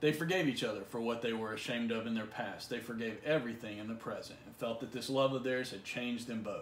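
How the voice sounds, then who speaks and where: A man rattles along at a very fast pace with hardly any pauses and fairly even intonation, with audible room echo and light background noise. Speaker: college literature instructor. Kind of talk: literary audiobook reading, a passage from the story read aloud within a lecture. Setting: recorded video lesson for an online course. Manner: measured, even, read-aloud pacing with a gentle, reflective tone; informal, conversational and explanatory in the surrounding lecture. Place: home room. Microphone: phone near.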